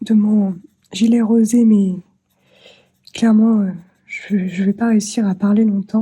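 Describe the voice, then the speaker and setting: Speaking at a very slow pace, a woman has a dark, mellow, somewhat breathy tone. Her fairly high pitch stays monotone and flat. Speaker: craft vlogger. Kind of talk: casual vlog talk. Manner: halting, many hesitations.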